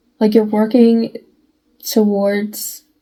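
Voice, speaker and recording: A woman with a fairly high pitch speaks slowly, somewhat breathy, in a dark, mellow tone with monotone, flat intonation. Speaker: tarot reader. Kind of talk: tarot reading monologue. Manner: choppy with weird pauses; halting, self-interrupting.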